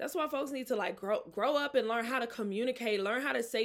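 Loud and animated, a woman speaks with an American accent. Her pitch is fairly high, with ordinary pitch variation. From Mississippi, US South. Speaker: podcast host and author. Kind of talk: casual solo podcast chat. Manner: loud, animated, casual.

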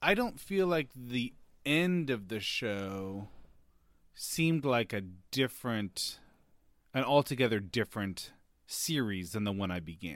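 With a very clean recording and silent background, a man at medium pitch speaks at a fairly slow pace, taking long, frequent pauses amid very wide pitch swings. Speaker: podcast host. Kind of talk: casual chat.

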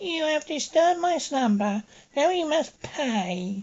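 A cackling, high-pitched put-on character voice comes out at a fairly slow pace. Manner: wretched, cackling, menacing.

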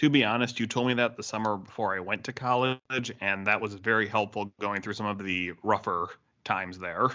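Here is a plain, everyday voice from a man with a fairly low pitch. His pace is fairly quick and his intonation fairly even. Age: 20s. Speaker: church podcast co-host. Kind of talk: casual chat.

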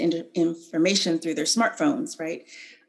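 A woman's intonation is lively, with noticeable background noise behind her. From California. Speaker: political candidate and educator. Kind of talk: interview. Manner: halting.

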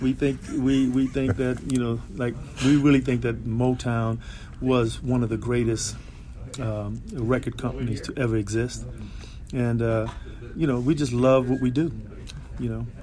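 A man talks at a moderate pace with long, frequent pauses, and audible room echo surrounds his voice. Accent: American. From South Central Los Angeles. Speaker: lead singer. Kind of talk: casual interview. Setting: backstage before concert. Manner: halting.

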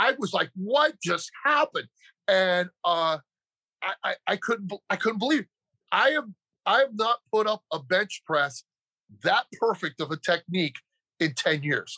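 Raised and projected, a man's high-pitched voice with a bright, sharp tone swings very widely in pitch at a fairly slow pace, with long, frequent pauses and a dry, close sound with no echo. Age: 60s. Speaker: powerlifter and strength coach. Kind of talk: interview testimony.

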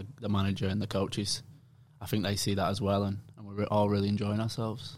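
A man with a Lancashire accent talks at a very fast pace in a fairly low pitch, his intonation flat and monotone. The recording is very clean, the background silent. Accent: northern English, Bolton. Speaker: professional footballer. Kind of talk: casual interview chat.

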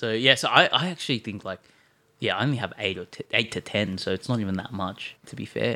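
With an Australian accent, a man talks at a fairly quick pace. His pitch is fairly low, with ordinary variation. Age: 20s. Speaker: sneaker marketplace co-founder. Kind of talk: casual interview.

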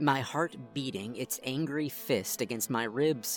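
Ordinary pitch variation throughout a stretch of plain reading aloud

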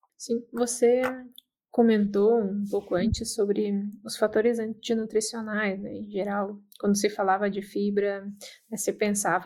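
A woman's dark, mellow tone at medium pitch, with a Brazilian accent, monotone, flat intonation and a fairly slow pace. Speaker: podcast host. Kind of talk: interview.

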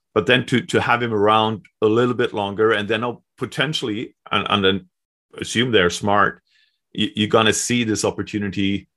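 In a Swedish accent, a man talks with a fairly low pitch and fairly even intonation. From Sweden. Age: 40s. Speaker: hockey journalist. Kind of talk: casual chat.

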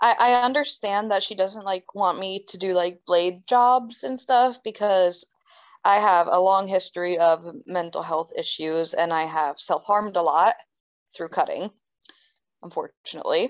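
At a moderate pace, a woman of medium pitch speaks in a New Jersey accent with ordinary pitch variation. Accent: New Jersey American. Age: 20s. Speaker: professional wrestler. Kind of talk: interview.

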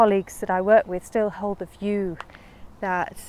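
Speaking at a moderate pace with a Lancashire accent, a woman keeps a medium pitch and a monotone, flat intonation. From northern England, Lancashire. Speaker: head of investments at a wealth manager. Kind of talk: casual interview on a walk. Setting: outdoors, walking in a park.

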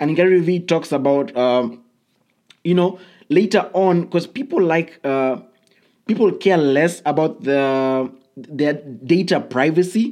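This man has a high pitch and a dark, mellow tone, with very even loudness. He talks at a fairly slow pace with long, frequent pauses. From Kenya. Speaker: podcast host. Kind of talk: solo podcast monologue. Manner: hesitant, many fillers.

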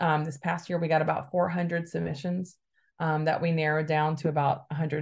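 A woman with an American accent speaks at a very deep, low pitch, somewhat breathily. Her intonation is fairly even, and the background is quiet. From Alabama, US South. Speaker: communications director of a progressive conference. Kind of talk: podcast interview.

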